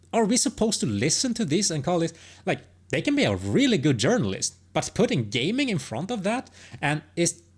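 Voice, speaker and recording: With a non-native accent and vocal fry, a woman talks at a fairly quick pace, her pitch swinging very widely, in a very clean recording over a silent background. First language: not English. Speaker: gaming commentator. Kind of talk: opinion monologue. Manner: halting, many false starts.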